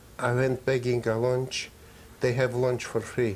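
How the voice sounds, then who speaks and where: A man's somewhat breathy voice moves along at a fairly slow pace. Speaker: Holocaust survivor. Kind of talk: interview answer.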